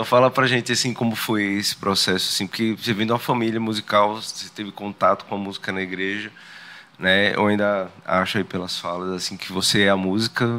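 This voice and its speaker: Monotone and flat, a man's fairly low voice moves at a fairly quick pace. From Sergipe, Brazil (Simão Dias). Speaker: podcast host. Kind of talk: interview conversation.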